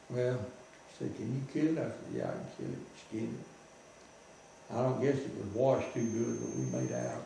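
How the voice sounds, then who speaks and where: A man speaks at a moderate pace with a Southern US accent. Noticeable background noise and audible room echo fill the recording. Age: 80s+. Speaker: war veteran. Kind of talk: storytelling.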